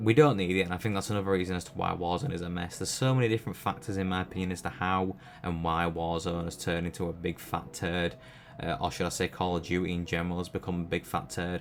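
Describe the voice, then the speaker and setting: Background noise is noticeable as a man with a British accent talks at a very fast pace. His voice is very deep and low, with ordinary pitch variation. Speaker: gaming YouTuber. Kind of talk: opinion commentary. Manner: stuttering.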